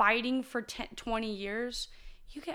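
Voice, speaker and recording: A high-pitched woman with an American accent at a fairly slow pace. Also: very clean recording, silent background. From US small town. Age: 20s. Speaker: martial artist. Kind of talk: casual interview.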